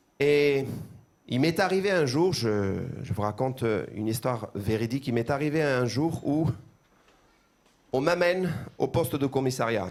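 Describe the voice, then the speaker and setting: Speaking with an Armenian accent, a man uses lively intonation and very even loudness, leaving long, frequent pauses. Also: medium pitch for a man. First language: Armenian (speaking French). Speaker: pastor. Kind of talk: sermon. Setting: church. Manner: halting, repeats words.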